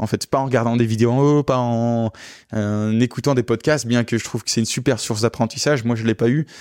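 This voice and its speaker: Recorded very cleanly against a silent background, a man talks at medium pitch and a fairly quick pace in a monotone, flat intonation. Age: 20s. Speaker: luxury car rental entrepreneur. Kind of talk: interview. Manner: halting.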